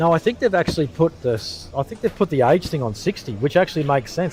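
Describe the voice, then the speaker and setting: A man speaks very fast. His pitch swings very widely. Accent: Australian. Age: 50s. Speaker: pool commentator. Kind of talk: live sports commentary. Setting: pool venue behind the games in progress.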